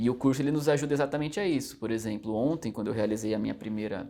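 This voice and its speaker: A man talks at a very fast pace with a dark, mellow tone. His pitch variation is ordinary. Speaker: judicial exam candidate. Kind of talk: interview. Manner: hesitant fillers.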